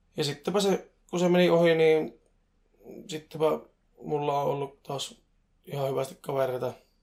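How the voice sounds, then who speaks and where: Pausing long and often, a man speaks at a moderate pace with fairly high pitch and ordinary variation in it. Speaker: podcast co-host. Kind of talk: casual chat. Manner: talkative.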